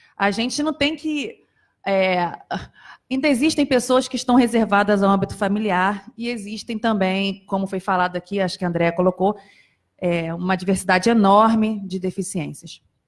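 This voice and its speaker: A woman's unremarkable speaking voice at medium pitch, with ordinary pitch variation and a moderate pace. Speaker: psychologist and accessibility committee member. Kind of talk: panel talk. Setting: auditorium with audience.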